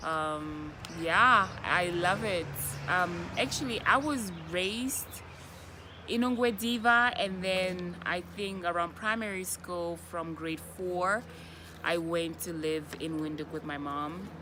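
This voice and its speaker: In a room with audible echo, a woman with a Namibian accent speaks very slowly at fairly low pitch with ordinary pitch variation. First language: Oshiwambo. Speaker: vlogger. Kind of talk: casual chat. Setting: outdoors.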